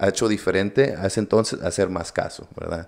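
A man speaks at a fairly quick pace in a fairly low pitch, with fairly even intonation over a quiet background. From US, Coachella Valley, California, Mexican-American; California. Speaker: entrepreneur; podcast guest. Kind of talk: interview. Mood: reflective, sincere. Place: studio. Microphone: studio mic.

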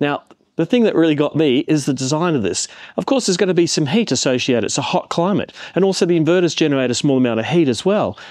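Talking at a very fast pace, a man keeps his intonation lively. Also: quiet background, dry sound with no echo. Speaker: tech reviewer. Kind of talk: casual vlog chat. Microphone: phone near.

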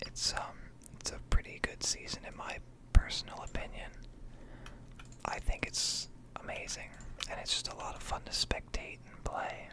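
Whispering in a relaxed tone, a man leaves long, frequent pauses, and his loudness swings widely. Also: moderate pace. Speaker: ASMR gaming content creator. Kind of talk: casual talk to camera, ASMR gaming ramble. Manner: soft-spoken, relaxed.

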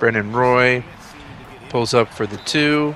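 Against noticeable background noise, a man of medium pitch speaks at a fairly slow pace with fairly even intonation. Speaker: gaming YouTuber. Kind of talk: sports commentary. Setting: video game commentary. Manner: casual, rambling, self-correcting.

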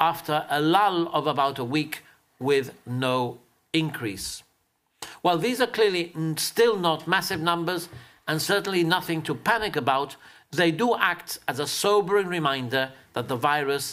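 At a moderate pace, a man talks in a high pitch with a bright, sharp tone. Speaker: government health minister. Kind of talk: press briefing statement. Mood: measured, serious. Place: hall. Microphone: podium.

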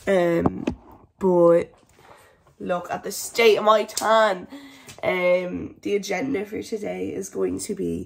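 Speech comes at a very slow pace, broken by long, frequent pauses. The loudness swings widely. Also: woman. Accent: Irish. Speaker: vlogger. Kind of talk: casual vlog. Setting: at home. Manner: hesitant, many fillers.

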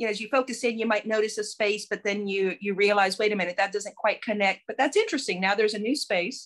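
With an American accent, a woman talks very fast. Her pitch varies in an ordinary way, and the background is quiet. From Texas. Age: 50s. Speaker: painter and professor. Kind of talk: interview. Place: home room.

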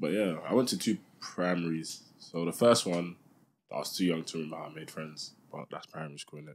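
With a London accent, a man speaks at a very deep, low pitch and a fairly quick pace, showing ordinary pitch variation and big swings in loudness. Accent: London multicultural English. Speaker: podcast co-host. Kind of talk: casual chat.

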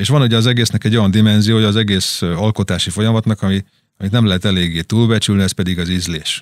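Very fast and fairly even in intonation, a man speaks at a fairly low pitch. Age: middle-aged. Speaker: drummer and record label owner. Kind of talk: interview. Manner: halting.

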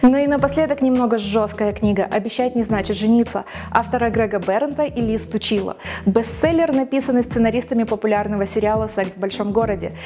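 A woman talks at a fairly quick pace with fairly high pitch and ordinary pitch variation. Light background noise is present. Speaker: TV presenter, radio and TV announcer graduate. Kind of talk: book recommendation TV show, address to camera. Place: studio.

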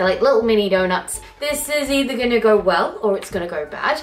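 A woman with faint music in the background. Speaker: cooking vlogger. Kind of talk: casual vlog chat. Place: kitchen. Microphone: camera far.

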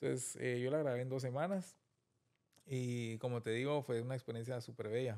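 Over a quiet background, a man's dark, mellow voice keeps fairly even intonation and very even loudness. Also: moderate pace. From Guatemala, Guatemala City; Guatemala. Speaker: film director; interview guest. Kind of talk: interview. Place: studio. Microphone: studio mic.

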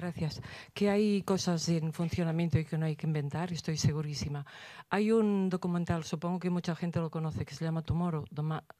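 A dark, mellow tone moves at a fairly quick pace with fairly even intonation and a dry sound free of echo. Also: woman, fairly low pitch for a woman. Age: old. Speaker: audience member. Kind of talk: audience question. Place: hall.

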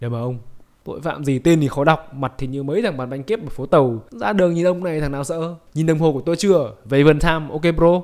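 The pace is very fast. A man delivers it at a fairly high pitch. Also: ordinary pitch variation. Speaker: narrator. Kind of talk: comedic movie recap narration. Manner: joking, playful.

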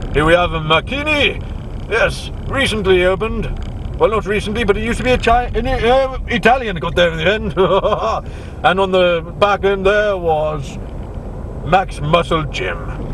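A man speaks at a moderate pace with ordinary pitch variation and long, frequent pauses. The sound is dry with no echo, under light background noise. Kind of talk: casual tour commentary. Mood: light, joking. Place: car. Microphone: camera far.

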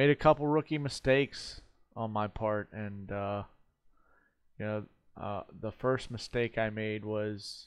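The man talks at a fairly slow pace. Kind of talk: casual vlog chat. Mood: reflective, calm. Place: home room. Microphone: headset.

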